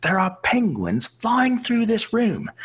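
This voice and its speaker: A put-on character voice, fairly high in pitch, moves along at a fairly slow pace. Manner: bad, exaggerated imitation accent.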